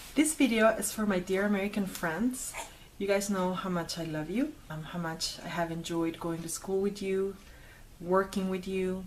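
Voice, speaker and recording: A woman speaks at a medium pitch with ordinary pitch variation, and room echo is audible. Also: moderate pace. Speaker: video blogger. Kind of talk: personal commentary to camera.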